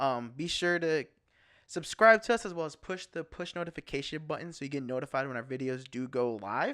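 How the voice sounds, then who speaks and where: Mumbling at a fairly quick pace, a man with a fairly high pitch, bright, sharp tone and lively intonation is heard on a very clean recording with a silent background. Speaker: podcast co-host. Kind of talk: casual chat. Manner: mumbling, stuttering.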